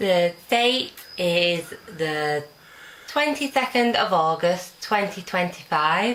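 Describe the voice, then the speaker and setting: A woman speaks at a very slow pace with lively intonation. Her pitch is medium, and background noise is noticeable. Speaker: oral history interviewer.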